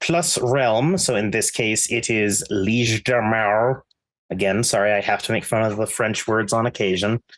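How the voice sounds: The delivery is a natural reading voice with fairly even intonation. The background is quiet.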